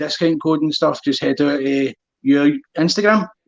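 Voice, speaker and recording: A man speaks with a strong Glaswegian accent. His pitch is fairly high. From Scotland, Glasgow. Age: 30s. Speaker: running channel host. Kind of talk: casual chat.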